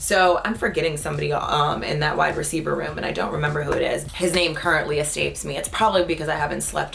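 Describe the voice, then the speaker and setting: Over noticeable background noise, a woman speaks very fast with hardly any pauses. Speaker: sports show host. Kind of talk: casual solo sports commentary. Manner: animated.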